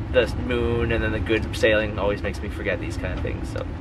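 The man's voice has a fairly low pitch. Noticeable background noise runs underneath. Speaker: sailing vlogger. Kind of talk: casual vlog chat. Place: boat. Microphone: phone near.

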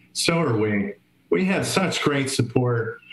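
Audible room echo follows a man speaking at a fairly slow pace. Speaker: charity organizer running a raffle. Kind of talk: live stream raffle drawing. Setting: live stream. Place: home room. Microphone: webcam.

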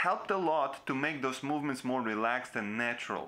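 The tone is bright and sharp. It belongs to a man. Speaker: video creator. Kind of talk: tutorial. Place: home room.

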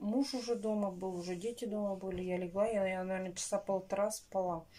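The pace is neither fast nor slow, but moderate. Pitch contours remain fairly even. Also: woman. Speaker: home vlogger. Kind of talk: casual vlog chat. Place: kitchen. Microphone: phone near.

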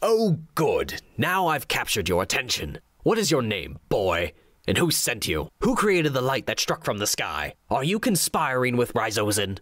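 Using a put-on character voice, a man talks at a medium pitch and moderate pace. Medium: read story. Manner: sneering, menacing, contemptuous.

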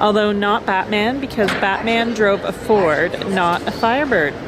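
Noticeable background noise sits behind speech delivered at a fairly slow pace. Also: woman. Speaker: vlogger, interviewer. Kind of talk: casual vlog chat. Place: hall. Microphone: phone near.

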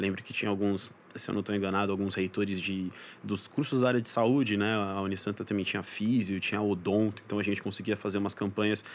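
At a very fast pace, a man delivers his words in a fairly low pitch with monotone, flat intonation. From São Paulo, Brazil, then Santos coast from age 10. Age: 20s. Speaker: advertising professional. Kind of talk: casual interview chat.

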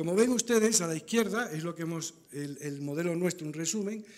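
This man moves at a fairly quick pace, and his pitch varies in an ordinary way. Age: 60s. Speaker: auditor; conference presenter. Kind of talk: conference talk. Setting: stage with audience. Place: hall. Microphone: podium.

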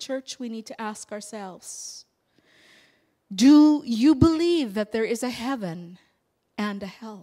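A woman with a fairly high pitch speaks at a very slow pace, leaving long, frequent pauses. Her voice is somewhat breathy against a quiet background. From England. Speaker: pastor. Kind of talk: sermon. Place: church. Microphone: handheld.

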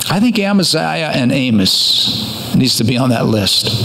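A man's voice with noticeable background noise. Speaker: pastor. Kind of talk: sermon. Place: church. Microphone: podium.

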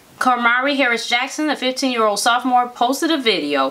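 A woman at a fairly quick pace, with lively intonation. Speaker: show co-host. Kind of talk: reading news story with commentary. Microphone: camera far.

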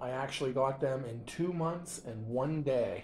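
A man's somewhat breathy, fairly high voice at a very slow pace, with ordinary pitch variation. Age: 50s. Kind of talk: casual product show-and-tell voice-over. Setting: home kitchen.

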